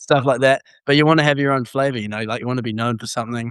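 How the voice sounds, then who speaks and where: In a dry, close sound with no echo, a man with a New Zealand accent speaks at a very fast pace. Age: 20s. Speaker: university student. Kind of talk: testimony.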